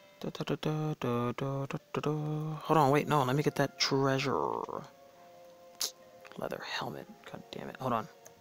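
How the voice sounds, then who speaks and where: Through noticeable background noise, a man with a fairly high pitch speaks in a flat monotone at a moderate pace with long, frequent pauses, the sound dry and close with no echo. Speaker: gaming youtuber. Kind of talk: gameplay commentary.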